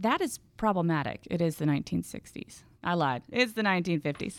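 A woman's normal speaking voice with an American accent, fairly low in pitch, with lively intonation, in a dry, close sound with no echo and a very clean recording with a silent background. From Houston, Texas. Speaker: environmental historian and author. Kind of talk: interview. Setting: studio.

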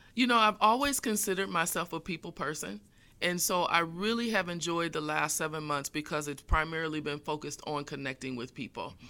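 On a very clean recording with a silent background, a woman with an American accent speaks at a fairly quick pace in a bright, sharp tone, her fairly low pitch carrying lively intonation. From Indiana, US Midwest. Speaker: community college chancellor. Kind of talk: interview.

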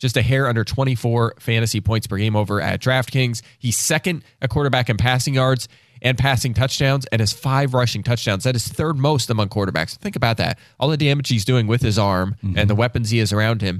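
A man speaks in a normal speaking voice at medium pitch, with ordinary pitch variation and very even loudness. His fairly quick delivery has hardly any pauses, and the recording is very clean with a silent background. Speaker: fantasy football analyst. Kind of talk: casual chat.

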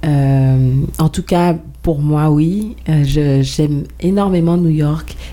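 A woman speaks at a very slow pace with a very deep, low pitch. Her intonation stays fairly even. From Guadeloupe. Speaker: singer-songwriter. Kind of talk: radio interview. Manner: hesitant, many fillers.

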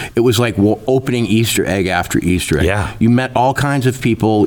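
A male voice proceeds at a moderate speed while background noise is noticeable behind it. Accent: American. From rural Minnesota. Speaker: journalist and author. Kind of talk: interview conversation.

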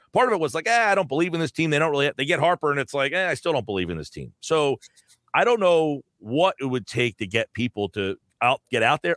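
A man's fairly high, bright, sharp voice with an American accent and very wide pitch swings, dry and close with no echo on a very clean recording with a silent background. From New Jersey. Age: 40s. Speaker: sports radio host. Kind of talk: casual chat.

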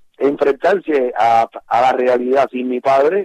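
A dark, mellow tone in a dry, close sound with no echo. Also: man. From Cuba. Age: 50s. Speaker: musician. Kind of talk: interview.

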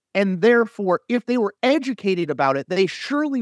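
A high-pitched man with an American accent and very wide pitch swings, in a very clean recording with a silent background and a dry, close sound with no echo. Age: 40s. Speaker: political journalist and commentator. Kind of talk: casual chat.

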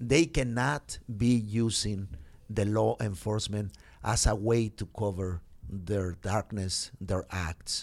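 In a Spanish accent, a man speaks at a very slow pace and a fairly low pitch with ordinary pitch variation, on a very clean recording with a silent background. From Mexico. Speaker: pastor and immigrant rights organizer. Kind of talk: interview. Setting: studio. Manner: halting.

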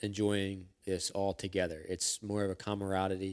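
Speaking with a Philadelphia accent, a man has a very deep, low pitch and monotone, flat intonation. The recording is very clean with a silent background. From US Northeast, Philadelphia. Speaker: sheet metal worker and hunter. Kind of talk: casual chat. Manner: halting, many fillers.

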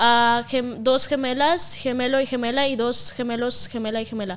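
Over a silent background in a very clean recording, a woman with a Russian accent speaks at a high pitch and a moderate pace with fairly even intonation. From Russia (Siberia). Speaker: content creator. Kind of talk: casual chat.

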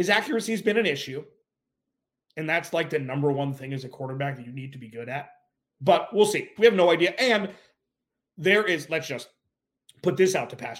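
Lively intonation and big swings in loudness mark this man's fairly high voice. He talks at a fairly quick pace, broken by long, frequent pauses. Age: 40s. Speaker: sports podcast host. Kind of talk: casual sports analysis monologue.

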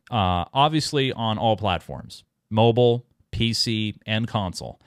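A man speaks at a medium pitch. His tone is animated. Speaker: podcast host. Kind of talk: casual chat. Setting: studio.

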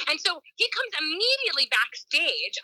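The voice is raised and projected, with a bright, sharp tone. It carries an American accent. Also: woman, dry, close sound with no echo. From New York. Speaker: performer and nutrition coach. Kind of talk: casual interview chat.

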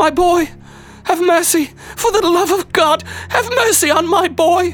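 With music in the background, a put-on character voice speaks shrill and extremely high at a moderate pace. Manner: shrieking, desperate pleading.

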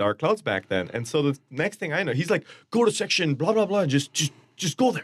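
A man speaks with an Indian accent. His pitch swings very widely. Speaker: soccer supporters group member. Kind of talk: casual chat. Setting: radio studio.

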